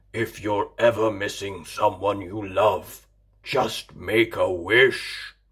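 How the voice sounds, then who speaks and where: Doing a growling, put-on character voice, a man speaks at a very slow pace and a fairly low pitch on a very clean recording with a silent background. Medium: read story.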